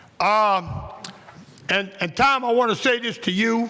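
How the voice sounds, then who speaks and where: A raised, projected voice speaks at a moderate pace with fairly even intonation over noticeable background noise. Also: man. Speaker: city council member. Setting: council meeting. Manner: talks loud.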